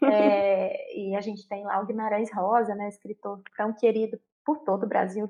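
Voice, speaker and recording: In a Minas Gerais accent, a woman speaks at a moderate pace with a fairly high pitch. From Minas Gerais, Brazil. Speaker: inclusive education speaker. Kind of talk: interview.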